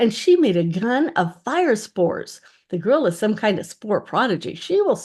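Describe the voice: The clip is plain reading aloud.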